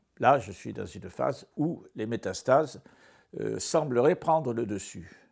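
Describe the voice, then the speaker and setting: Over a very clean recording with a silent background, a man with vocal fry speaks very slowly at a medium pitch, his intonation lively. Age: 70s. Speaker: cancer patient. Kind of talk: testimony. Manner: halting, many hesitations.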